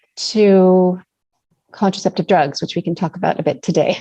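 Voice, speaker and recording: A woman's voice has a dark, mellow tone. The sound is dry and close, with no echo. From Canada. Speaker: naturopathic doctor. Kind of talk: interview.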